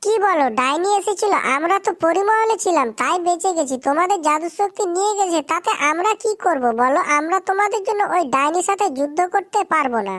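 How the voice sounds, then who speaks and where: An extremely high-pitched, cartoonish character voice, female-sounding, at a moderate pace. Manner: impatient.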